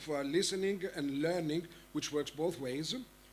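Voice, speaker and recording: In an Arabic accent, a man talks at a moderate pace with a fairly high pitch and ordinary pitch variation. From Egypt. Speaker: panel moderator. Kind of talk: conference panel moderation. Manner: halting, many fillers.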